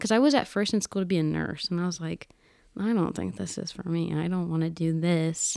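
Her pitch fairly low, a woman talks in a plain, everyday voice at a fairly quick pace with ordinary pitch variation. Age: 20s. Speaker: podcast editor and creative entrepreneur. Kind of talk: casual interview chat.

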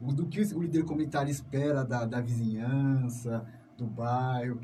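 At a moderate pace, a man talks in a fairly high pitch with a dark, mellow tone, somewhat breathy, with ordinary pitch variation and audible room echo. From São Paulo, Brazil (south zone). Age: 30s. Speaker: community radio host. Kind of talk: radio interview.

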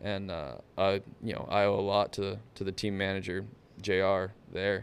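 A man's fairly low voice with an American accent and monotone, flat intonation. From South Texas coast. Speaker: motorsports technician and off-road driver. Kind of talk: casual chat.

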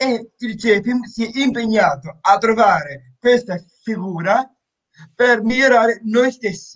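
A man talks at a very slow pace. His voice sits at a high pitch. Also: ordinary pitch variation. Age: 20s. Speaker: charity member with Down syndrome, amateur actor. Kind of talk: interview. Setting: video call from seaside home. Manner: halting, repeated syllables.

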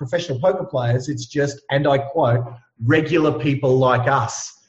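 This man has an Australian accent and a fairly high pitch. He talks at a moderate pace. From Ipswich, Queensland, Australia. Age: 40s. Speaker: real estate coach and trainer. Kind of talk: casual interview. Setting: remote call from Perth. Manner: energetic, animated.

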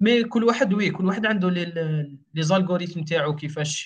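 At a moderate pace, a man talks in an unremarkable speaking voice. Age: 20s. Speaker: web developer. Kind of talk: casual interview.

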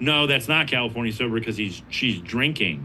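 Over audible room echo, a man of medium pitch talks at a fairly quick pace with ordinary pitch variation. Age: 40s. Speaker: addiction ministry leader. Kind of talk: casual chat. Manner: halting, many repeated words.

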